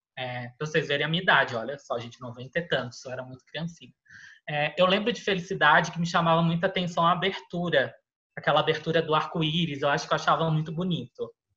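A very fast man's voice, fairly high in pitch, bright and sharp in tone, with ordinary pitch variation. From Florianópolis, southern Brazil. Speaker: film and TV recommendation influencer. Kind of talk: casual chat.

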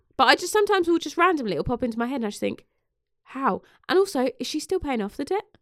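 A woman speaks at a very fast pace and high pitch, with very wide pitch swings, in a British accent. The sound is dry and close with no echo, in a very clean recording with a silent background. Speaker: podcast host. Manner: sarcastic.

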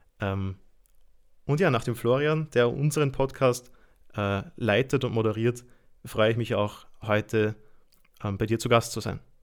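With an Austrian accent, a man speaks at a medium pitch and a fairly slow pace, leaving long, frequent pauses in a very clean recording with a silent background. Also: ordinary pitch variation. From Austria, Lower Austria. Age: 20s. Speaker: institute director and trainer. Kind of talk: casual interview.

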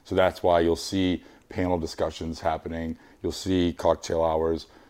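With an American accent, a man speaks in a very deep, low pitch and a dark, mellow tone, his intonation monotone and flat, in a very clean recording with a silent background. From Boston. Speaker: event organizer and artist. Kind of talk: casual chat. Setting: host's living room.

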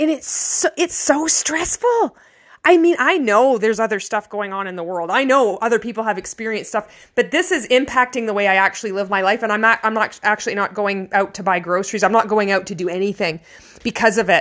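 Against a silent background in a very clean recording, a woman with a Canadian accent talks at a fairly quick pace with fairly high pitch and lively intonation. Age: 40s. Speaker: vlogger. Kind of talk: personal monologue. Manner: halting.

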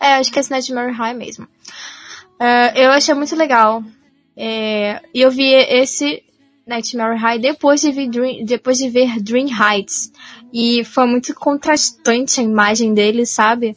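A woman speaks at a fairly slow pace and a high pitch. Her intonation stays fairly even. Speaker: podcast host. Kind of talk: casual chat.

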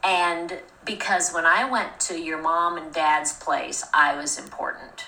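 A woman at a fairly slow pace with an American accent, with audible room echo and noticeable background noise. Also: fairly low pitch for a woman, ordinary pitch variation. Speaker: podcast host. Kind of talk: casual chat.

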